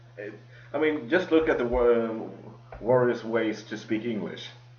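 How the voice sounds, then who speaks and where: Amid noticeable background noise and audible room echo, a man with a strong Swedish accent talks at a moderate pace and a medium pitch. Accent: heavy Swedish. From Sweden. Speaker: podcast host. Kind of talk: casual chat. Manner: halting.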